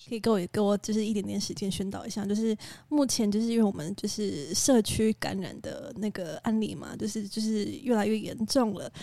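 Soft-spoken and fairly high-pitched, a woman talks fairly quickly in a dark, mellow tone with hardly any pauses. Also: ordinary pitch variation. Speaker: podcast co-host. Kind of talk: casual chat. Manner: quiet, soft-spoken.

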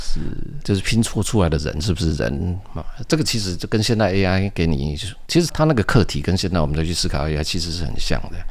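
A man speaks at a very fast pace in a very deep, low voice with lively intonation, and audible room echo surrounds him. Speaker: science fiction writer and engineer. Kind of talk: interview.

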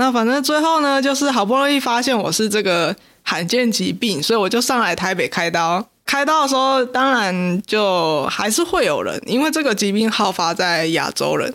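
Delivered at a moderate pace with hardly any pauses, the speech carries a Taiwanese accent on a very clean recording with a silent background. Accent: Taiwanese Mandarin. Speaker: podcast co-host. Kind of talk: casual chat.

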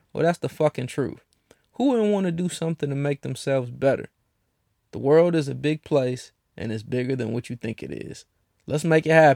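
In a normal speaking voice, a man talks at a fairly quick pace and fairly high pitch, with ordinary pitch variation and a dry, close sound with no echo. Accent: American. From Cleveland, Ohio. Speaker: podcast host. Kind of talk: casual, profane solo podcast monologue. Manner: casual, blunt, profane.

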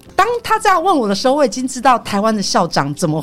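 A woman speaks with a Taiwanese accent at a fairly quick pace. Noticeable background noise is present. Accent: Taiwanese Mandarin. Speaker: tour leader and Japanese interpreter. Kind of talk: casual chat.

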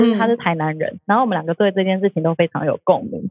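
Over music in the background, a woman talks at a very fast pace with medium pitch and ordinary pitch variation. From Taiwan, outside Taipei. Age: 30s. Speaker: food podcast host. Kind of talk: casual chat.

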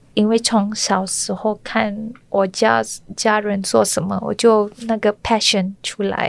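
The speech moves at a very slow pace with a monotone, flat intonation. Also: woman, medium pitch for a woman. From Malaysia, Kuala Lumpur. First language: Malay (speaking Chinese). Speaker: restaurant owner. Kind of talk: interview. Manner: halting, hesitant.

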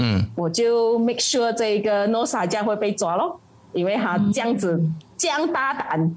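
Lively intonation at a moderate pace, very even loudness, and noticeable background noise. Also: woman, fairly high pitch for a woman. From Malaysia. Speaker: political party committee member and activist. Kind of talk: interview. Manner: halting, many fillers.

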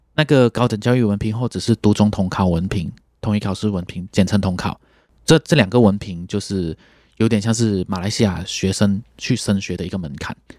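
A man speaks at a fairly quick pace and a fairly low pitch, with ordinary pitch variation. The recording is very clean with a silent background, the sound dry and close with no echo. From Malaysia. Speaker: trumpeter and music teacher. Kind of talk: interview.

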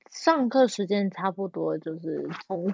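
A woman's voice at a medium pitch. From Taiwan (New Taipei). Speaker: orchestral violist. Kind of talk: casual interview.

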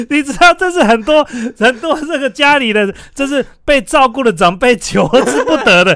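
Over noticeable background noise, a man speaks in a raised, projected voice at a moderate pace. His pitch is extremely high and his intonation lively. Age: 40s. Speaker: podcast host. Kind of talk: casual chat.

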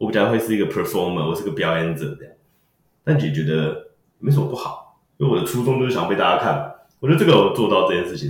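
The voice moves at a very fast pace, somewhat breathy, with very wide pitch swings and big swings in loudness. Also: man. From Taiwan, Taipei. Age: 30s. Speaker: magician and comedy performer. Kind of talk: casual interview chat. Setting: studio.

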